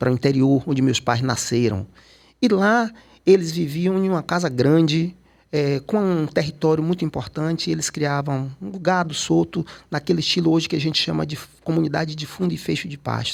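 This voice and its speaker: A man talks at a moderate speed with a fairly high pitch. He has a normal speaking voice, and his pitch varies in an ordinary way. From Salvador, Bahia, Brazil. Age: 60s. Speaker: photographer and cultural activist. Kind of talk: interview conversation.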